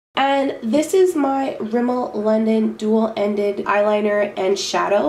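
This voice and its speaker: A woman speaks in a fairly high voice with ordinary pitch variation, while noticeable background noise and audible room echo fill the recording. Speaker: beauty vlogger. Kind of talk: makeup tutorial.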